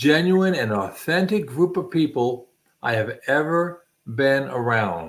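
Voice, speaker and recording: Speaking at a fairly slow pace, a man with an unremarkable speaking voice uses lively intonation at a fairly high pitch. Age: 60s. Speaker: channel host, military veteran. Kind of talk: casual chat. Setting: livestream.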